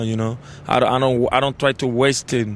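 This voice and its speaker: A man's monotone, flat delivery at a moderate pace, with light background noise. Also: dry sound with no echo. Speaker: interview guest. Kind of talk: interview answer. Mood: relaxed, reflective. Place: stadium. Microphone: handheld.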